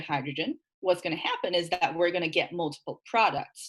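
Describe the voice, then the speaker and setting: With lively intonation and a fairly quick pace, a woman speaks at medium pitch in an ordinary speaking voice. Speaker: chemistry lecturer. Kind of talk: lecture.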